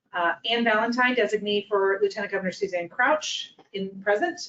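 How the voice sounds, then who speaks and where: At a moderate pace, a woman with a medium pitch and a plain, everyday voice speaks with lively intonation. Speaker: board meeting chair. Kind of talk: formal board meeting proceedings.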